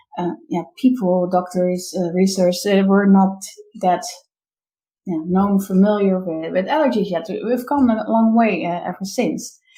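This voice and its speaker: A dark, mellow, somewhat breathy voice with a Dutch accent, at a fairly slow pace. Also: woman, medium pitch for a woman, ordinary pitch variation. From Netherlands. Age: 30s. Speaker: business coach. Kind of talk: interview. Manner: halting.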